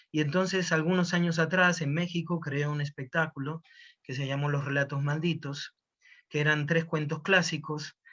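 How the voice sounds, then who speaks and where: A man has a plain, everyday voice with a fairly high pitch. He talks at a moderate pace against a quiet background. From Argentina. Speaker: storyteller. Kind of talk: interview answer.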